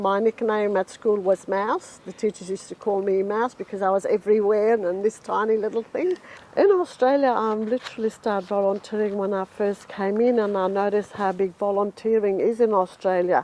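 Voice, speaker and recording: A woman talks at a moderate pace with hardly any pauses, her pitch medium and her intonation fairly even. Noticeable background noise runs under the recording. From Lebanon. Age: 60s. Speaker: volunteer newspaper editor. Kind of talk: interview testimony.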